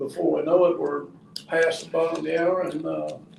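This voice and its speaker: Speech from a man, with audible room echo and noticeable background noise. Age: 70s. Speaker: retired construction worker. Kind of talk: radio talk show discussion. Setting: radio studio.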